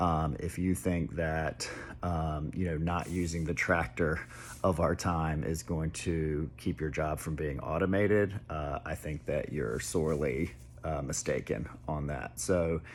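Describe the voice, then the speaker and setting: A man's very deep, low voice with vocal fry, fairly slow in pace, with ordinary pitch variation. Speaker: tech commentator. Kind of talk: casual monologue. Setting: at home. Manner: hesitant, many fillers; soft-spoken.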